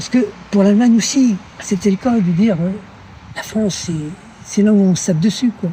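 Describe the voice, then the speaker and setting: Speaking at a fairly quick pace with long, frequent pauses, a man uses a high pitch and ordinary pitch variation. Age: 70s. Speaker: older passer-by interviewed in the street. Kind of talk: casual street conversation.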